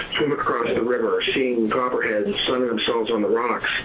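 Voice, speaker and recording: A man with an American accent, medium pitch and fairly even intonation, amid noticeable background noise and audible room echo. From US, southwestern Pennsylvania (Fayette County). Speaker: author. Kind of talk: casual interview. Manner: hesitant, many fillers.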